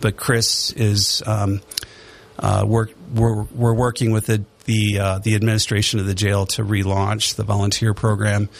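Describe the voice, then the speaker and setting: Against noticeable background noise, a man speaks fairly low and monotone at a moderate pace, his loudness very even. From Detroit, Michigan. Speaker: church council representative. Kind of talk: casual radio interview.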